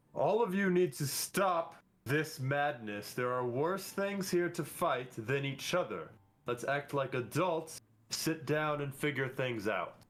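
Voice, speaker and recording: Booming in a put-on character voice, a man speaks at a fairly slow pace with a fairly high pitch. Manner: commanding, authoritative.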